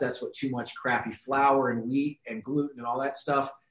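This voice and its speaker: Monotone, flat intonation marks this man's medium-pitched voice. He talks at a fairly quick pace. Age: 30s. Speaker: health and fitness coach. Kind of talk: casual chat.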